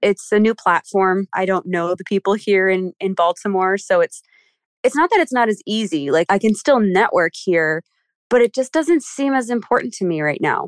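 A woman's unremarkable speaking voice with an American accent, medium pitch, and lively intonation. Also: moderate pace. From Philadelphia. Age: 20s. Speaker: actress. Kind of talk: casual chat.

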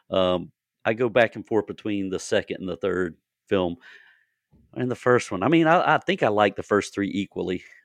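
A man with an ordinary speaking voice talks at a moderate pace, fairly low in pitch with lively intonation, in a dry, close sound with no echo and a quiet background. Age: 50s. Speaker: podcast host and horror author. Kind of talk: casual interview chat.

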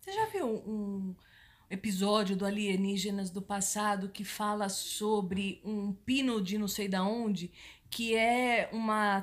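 Her intonation flat and monotone, a woman talks very slowly at a medium pitch. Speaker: podcast co-host. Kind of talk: casual chat.

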